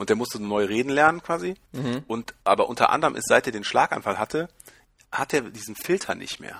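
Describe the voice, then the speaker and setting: A man's plain, everyday voice at medium pitch and a fairly quick pace, with lively intonation, big swings in loudness and a dry, close sound with no echo. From Germany. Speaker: podcast guest, lacrosse player. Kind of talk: casual interview.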